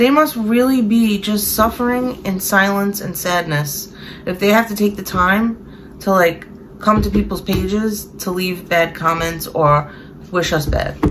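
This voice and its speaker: Over noticeable background noise, a woman with a Brooklyn accent speaks fairly slowly at a medium pitch with ordinary pitch variation. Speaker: online reseller and vlogger. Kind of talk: casual chat. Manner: emotional, rambling.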